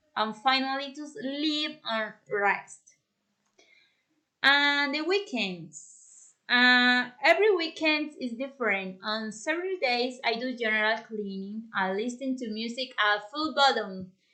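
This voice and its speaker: A woman's very slow, high-pitched voice with a bright, sharp tone and lively intonation over a quiet background. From Colombia, Bogota. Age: 30s. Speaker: language student. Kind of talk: class presentation. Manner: halting.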